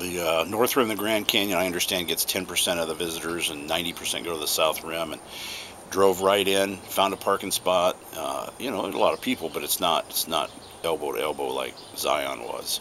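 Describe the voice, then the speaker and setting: Fairly quick speech from a man with a very deep, low voice, over noticeable background noise. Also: ordinary pitch variation. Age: 60s. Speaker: pipe-smoking video blogger. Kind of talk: casual chat. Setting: outdoors on home porch. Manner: relaxed, halting with repetitions.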